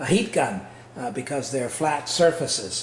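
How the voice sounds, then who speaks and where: The room echo can be heard. Music plays underneath. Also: man. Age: 60s. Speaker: home renovator. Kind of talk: tutorial. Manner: halting, many fillers.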